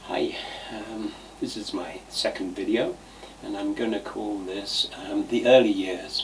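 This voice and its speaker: Noticeable background noise sits under speech that goes at a fairly slow pace. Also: man. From eastern England, Cambridgeshire (Ely). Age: 70s. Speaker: vlogger telling life stories. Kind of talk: personal reminiscence monologue. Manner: halting, many fillers.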